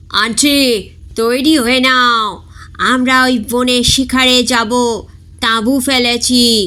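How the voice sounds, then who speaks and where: A man puts on a squeaky character voice with extremely high pitch, raised and projected. He speaks at a very slow pace with very even loudness. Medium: read story. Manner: eager, nervous.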